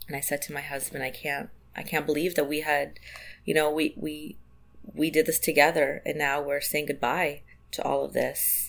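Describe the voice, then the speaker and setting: A woman with a very deep, low voice and vocal fry speaks at a moderate pace with fairly even intonation in a very clean recording with a silent background. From Israel. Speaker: community organizer. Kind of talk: interview conversation.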